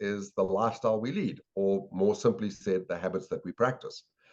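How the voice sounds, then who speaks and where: This man speaks at a moderate pace with a South African accent. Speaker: sales and habits expert, educator. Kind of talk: podcast interview.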